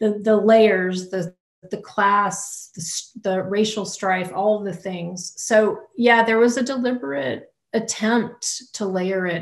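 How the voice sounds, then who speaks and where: Against a quiet background, a woman with an American accent talks at a very slow pace with ordinary pitch variation. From US South, Louisiana. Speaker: poet. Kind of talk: audience Q&A. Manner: halting. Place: home room. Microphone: video call.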